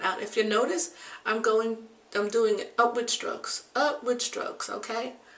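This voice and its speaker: A woman's fairly high voice is heard with noticeable background noise. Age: 60s. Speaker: beauty and health vlogger. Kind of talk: tutorial. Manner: casual, with frequent fillers.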